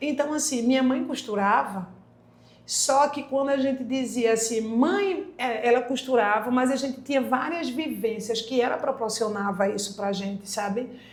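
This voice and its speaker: A high-pitched woman speaks amid noticeable background noise and audible room echo. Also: ordinary pitch variation, moderate pace. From Brazil, Pernambuco (Candeias, near Recife). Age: 40s. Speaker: occupational therapist. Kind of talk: podcast interview.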